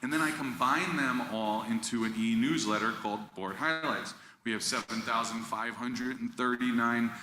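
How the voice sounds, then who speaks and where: A man talks at a moderate pace with a medium pitch. Noticeable background noise and audible room echo surround his voice. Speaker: school district communications staff. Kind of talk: presentation to school board.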